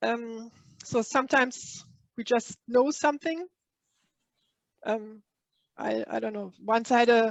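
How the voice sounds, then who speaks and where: With a non-native accent, the speaker goes at a fairly slow pace with long, frequent pauses and ordinary pitch variation. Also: woman, fairly high pitch for a woman. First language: not English. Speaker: spiritual workshop leader. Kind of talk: online workshop talk. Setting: live online workshop. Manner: halting, many fillers.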